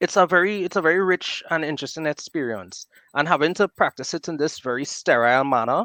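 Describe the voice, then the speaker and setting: In a Trinidadian accent, a man talks at a very fast pace with lively intonation, a fairly high pitch and a bright, sharp tone, on a very clean recording with a silent background. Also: dry, close sound with no echo. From Trinidad and Tobago, southwest. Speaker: podcast guest, fellow podcaster. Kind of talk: casual podcast conversation.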